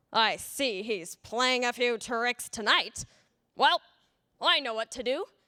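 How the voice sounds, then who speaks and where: A woman puts on a character voice, pitched high and delivered at a fairly slow pace, on a very clean recording with a silent background. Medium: read story.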